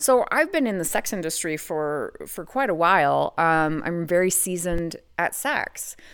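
A woman with an American accent speaks in an ordinary speaking voice, fairly low in pitch with lively intonation, at a fairly slow pace with hardly any pauses, on a very clean recording with a silent background. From US, Idaho. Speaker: legal brothel sex worker. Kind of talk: podcast interview.

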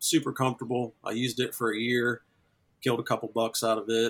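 A man with a medium-pitched, plain, everyday voice is speaking. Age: 30s. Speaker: deer hunter. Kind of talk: interview.

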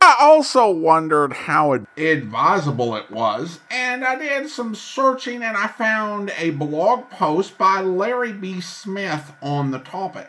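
A raised, projected voice moves at a very slow pace with hardly any pauses and very wide pitch swings. Background noise is noticeable. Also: man, high pitch for a man. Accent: American. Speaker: podcast host. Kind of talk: casual podcast intro and commentary.

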